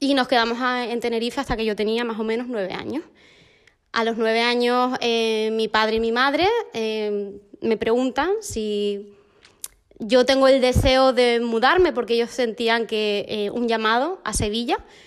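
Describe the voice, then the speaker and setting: This woman has an unremarkable speaking voice at a fairly high pitch. Her intonation stays fairly even. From Argentina, raised in Canary Islands, Spain. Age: 20s. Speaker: missionary. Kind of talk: casual chat. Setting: at home.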